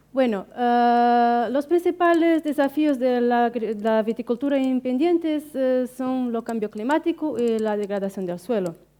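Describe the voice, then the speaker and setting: Slowish and high-pitched, a woman with a non-native accent speaks in a dark, mellow tone at a fairly slow pace. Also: ordinary pitch variation, hardly any pauses. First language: Portuguese (speaking Spanish). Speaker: researcher. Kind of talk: conference talk. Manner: halting, many fillers.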